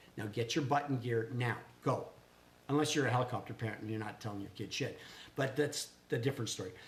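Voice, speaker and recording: A man with a somewhat breathy voice at a medium pitch, very fast pace and ordinary pitch variation. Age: 60s. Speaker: small business owner, vlogger. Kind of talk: casual chat. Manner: animated.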